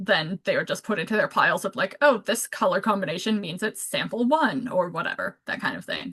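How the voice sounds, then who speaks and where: A woman with a plain, everyday voice talks at a moderate pace. Her pitch is fairly high and her intonation lively. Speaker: community science presenter. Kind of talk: presentation. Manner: casual, filler-heavy.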